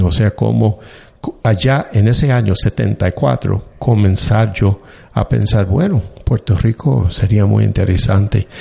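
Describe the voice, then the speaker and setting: Very slowly, a man speaks with a fairly low pitch, vocal fry and a dark, mellow tone. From US (Annapolis, Maryland). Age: 60s. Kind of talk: interview conversation. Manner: halting, many fillers.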